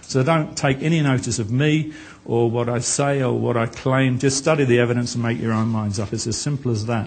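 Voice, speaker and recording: A man's medium-pitched voice at a fairly quick pace, ordinary pitch variation, and audible room echo. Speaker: author and speaker on Mormonism. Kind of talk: conference presentation. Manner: fast.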